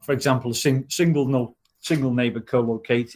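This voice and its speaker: His intonation stays fairly even. The man's voice sits at a medium pitch. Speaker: technical trainer. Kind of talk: online training session. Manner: fast.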